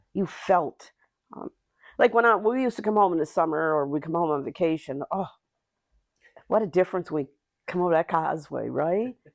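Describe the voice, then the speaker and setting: A woman at a fairly low pitch with an Nova Scotian accent, lively intonation, a fairly quick pace broken by long, frequent pauses, and a dry, close sound with no echo. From Nova Scotia, Whitney Pier (Cape Breton). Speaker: community justice worker. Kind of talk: casual chat. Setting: podcast interview.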